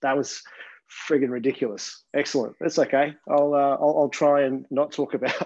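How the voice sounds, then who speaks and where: A man with an Australian accent, fairly high-pitched, at a moderate pace over a quiet background. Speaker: gin distiller. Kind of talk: casual chat. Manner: soft-spoken.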